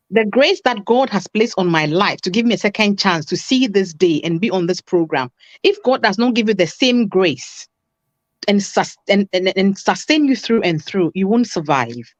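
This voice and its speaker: A woman's animated, medium-pitched voice in a Ghanaian accent, lively intonation, moderate pace, dry and close with no echo, quiet background. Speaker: relationship talk show guest. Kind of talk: talk show discussion. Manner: animated, emphatic.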